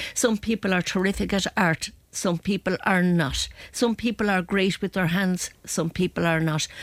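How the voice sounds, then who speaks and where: A woman at medium pitch with an Irish accent, fairly even intonation, a moderate pace and hardly any pauses, in a dry, close sound with no echo and a very clean recording against a silent background. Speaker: agony aunt. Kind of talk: advice segment. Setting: studio.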